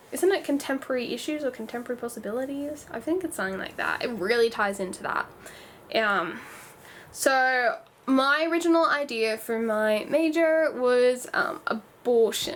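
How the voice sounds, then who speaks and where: Lively in intonation, a woman talks at a moderate pace with a high pitch. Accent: Australian. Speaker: youtuber, former dance student. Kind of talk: casual vlog talk. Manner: halting, self-correcting.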